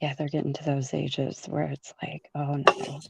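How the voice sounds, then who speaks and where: A soft-spoken woman talks at a fairly slow pace, her voice dry and close with no echo. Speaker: caller. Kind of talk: casual chat.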